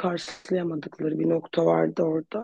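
In a dark, mellow tone, a woman speaks at a moderate pace with a dry, close sound and no echo. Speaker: clinical psychologist, earthquake relief volunteer. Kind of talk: interview, personal account.

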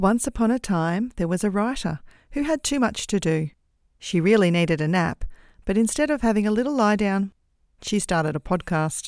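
A woman with an Australian accent speaks at a moderate pace, her medium-pitched voice carrying lively intonation. Her loudness stays very even, and the recording is very clean with a silent background. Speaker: podcast host and author. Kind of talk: scripted narration, podcast intro.

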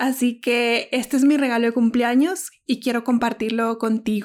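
Recorded very cleanly against a silent background, a woman with a high voice speaks at a moderate pace with fairly even intonation. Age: 30s. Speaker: podcast host. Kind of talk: monologue introduction.

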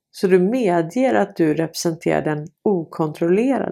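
In a very clean recording with a silent background, a dark, mellow voice moves along at a fairly slow pace. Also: woman. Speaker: video blogger and commentator. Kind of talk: angry rant about censorship and authorities. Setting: home recording, solo video. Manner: indignant, irritated, fiery.

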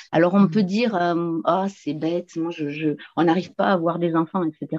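With a quiet background and a dry, close sound with no echo, a woman speaks at a fairly slow pace in a fairly low voice with a dark, mellow tone. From southwest France, near the Pyrenees. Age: 50s. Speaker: feng shui and geobiology practitioner. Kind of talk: casual chat.

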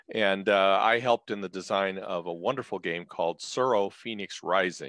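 A man speaks in a normal speaking voice with an American accent, his fairly low pitch moving with ordinary variation at a moderate pace, recorded dry and close with no echo against a quiet background. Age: 60s. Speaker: retired physician and board game designer. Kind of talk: casual chat.

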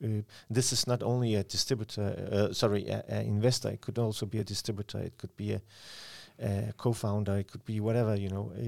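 A man talks at a very fast pace. His fairly low pitch moves with fairly even intonation. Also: very clean recording, silent background. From Denmark, Aalborg. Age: 50s. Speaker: sales consultant. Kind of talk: interview. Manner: halting.

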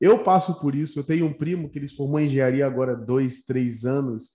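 A man speaks at a fairly quick pace in a fairly high voice with a dark, mellow tone. His pitch varies in an ordinary way, while his loudness swings widely. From Rio de Janeiro, Brazil. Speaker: podcast host. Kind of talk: casual interview.

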